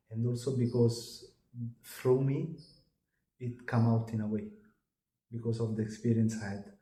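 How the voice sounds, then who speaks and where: A man with a dark, mellow, somewhat breathy tone speaks at a moderate pace with monotone, flat intonation. Long, frequent pauses break his speech, and the room echo is audible. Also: medium pitch for a man. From Italy. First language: Italian. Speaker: channeler and contactee. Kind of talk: interview. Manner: halting.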